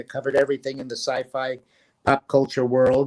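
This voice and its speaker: A man with a fairly high pitch speaks at a fairly quick pace. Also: dry, close sound with no echo. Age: 60s. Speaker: fan club founder and publisher. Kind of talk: interview. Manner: hesitant, many fillers.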